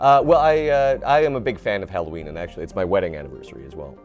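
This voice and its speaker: Over clear background music, a man speaks at a fairly quick pace with very wide swings in pitch. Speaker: voice actor; improv actor. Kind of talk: interview answer. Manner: casual, humorous. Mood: relaxed, enthusiastic. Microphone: lapel.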